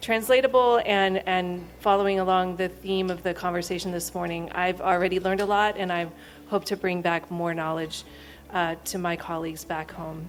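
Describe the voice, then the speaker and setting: With an American accent, a woman speaks at a medium pitch. Her intonation is fairly even. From United States. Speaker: architect and public health researcher. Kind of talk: conference presentation. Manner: fast.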